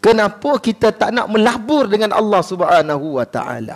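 At a fairly slow pace, a man speaks in an animated tone. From Kedah, Malaysia. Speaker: religious preacher; religious teacher. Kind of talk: sermon. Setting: mosque prayer hall with congregation. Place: hall. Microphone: headset.

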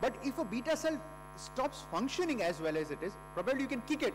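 There's noticeable background noise as a man speaks with an Indian accent. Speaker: endocrinologist. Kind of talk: conference lecture. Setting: stage with audience. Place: hall.

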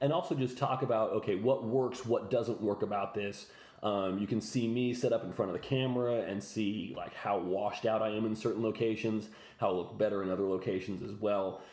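Speaking at a fairly quick pace, a man uses a fairly low pitch with ordinary pitch variation. The room echo is audible. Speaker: fitness coach. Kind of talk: tutorial. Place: home room. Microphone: phone near.

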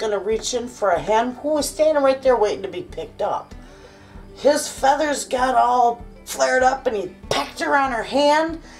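The speech moves at a moderate pace over faint music in the background. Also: woman. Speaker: homestead vlogger. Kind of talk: casual vlog chat. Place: kitchen. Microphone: phone near.

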